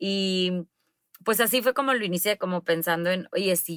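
A woman talks at a fairly slow pace, her sound dry and close with no echo, on a very clean recording with a silent background. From Mexico, Monterrey. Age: 30s. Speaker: public relations consultant. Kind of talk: interview.

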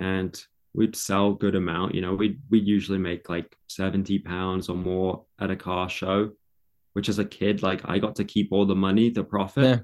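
Moderate pace from a man with a fairly low pitch and monotone, flat intonation, in a very clean recording with a silent background. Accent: southern English. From England. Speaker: content creator. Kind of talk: interview conversation.

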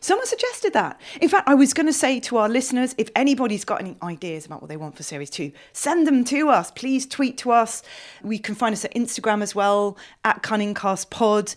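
Against a quiet background, a woman talks fairly quickly at a fairly high pitch, with very wide pitch swings and big swings in loudness. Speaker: podcast producer. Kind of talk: casual chat. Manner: enthusiastic.

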